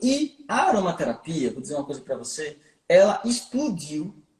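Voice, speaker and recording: This is a man speaking. He has a northeastern Brazilian accent. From Brazil, Recife (Pernambuco). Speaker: aromatherapy teacher and podcast host. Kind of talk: live podcast interview.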